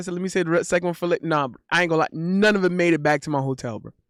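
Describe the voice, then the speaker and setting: The recording is very clean, with a silent background. A man's voice sounds dry and close, with no echo. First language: not English. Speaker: streamer. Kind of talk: casual chat. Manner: animated; halting.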